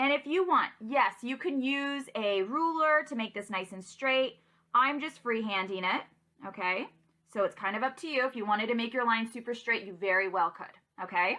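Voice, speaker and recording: A woman with a normal speaking voice talks at a moderate pace, her fairly high pitch carried by lively intonation. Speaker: schoolteacher. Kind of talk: tutorial. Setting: recorded virtual class video.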